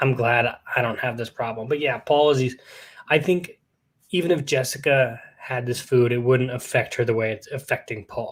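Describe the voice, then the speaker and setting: In an American accent, a man speaks at a moderate pace with a medium pitch. His voice is somewhat breathy, with fairly even intonation. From US West (Fresno, California). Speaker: podcast host. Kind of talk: casual chat. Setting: live stream. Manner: whispering.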